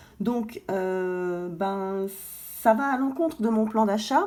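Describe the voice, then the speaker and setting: This woman's voice has a dark, mellow tone. Her pitch varies by ordinary amounts. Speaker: gold investing vlogger. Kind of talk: casual vlog. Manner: halting, many fillers.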